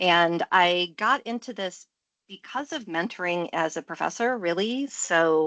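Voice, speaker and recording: A bright, sharp tone in an American accent, with lively intonation at a fairly slow pace, against a quiet background. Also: woman, fairly low pitch for a woman. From US Midwest, Michigan. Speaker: professor and coach. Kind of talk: interview. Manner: conversational, many fillers.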